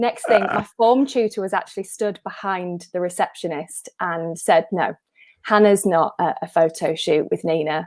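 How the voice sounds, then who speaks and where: With an unremarkable speaking voice, a woman talks at a moderate pace at medium pitch with ordinary pitch variation. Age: 30s. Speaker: impressionist. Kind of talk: casual chat.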